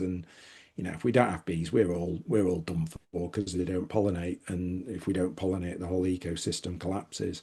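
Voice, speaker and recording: Over a quiet background, a man with a northern English accent speaks at a fairly quick pace in a very deep, low pitch with a dark, mellow tone. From northern England, Manchester. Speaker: author and business consultant. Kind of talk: podcast interview. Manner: animated, frequent repetitions and fillers.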